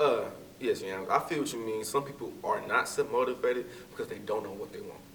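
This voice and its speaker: With an American accent, a man talks at a fairly quick pace, his loudness swinging widely over noticeable background noise. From Texas, Fort Worth. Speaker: graduate student. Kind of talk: interview.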